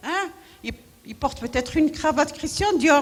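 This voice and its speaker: A woman speaks with lively intonation. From Morocco, Marrakech. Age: 70s. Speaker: women's rights activist. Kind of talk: conference talk. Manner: animated.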